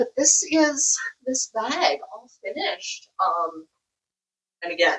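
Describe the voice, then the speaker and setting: A woman with a high pitch talks at a very slow pace, leaving long, frequent pauses. Her voice shows very wide pitch swings and big swings in loudness. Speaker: crochet vlogger. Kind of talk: casual vlog show-and-tell. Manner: casual, chatty.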